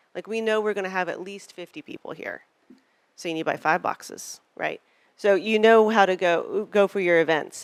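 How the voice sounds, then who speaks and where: A woman with an Arkansas accent talks in an animated tone at a medium pitch and moderate pace. The recording is very clean, with a silent background and a dry, close sound with no echo. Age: old. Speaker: political fundraising consultant. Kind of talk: panel presentation.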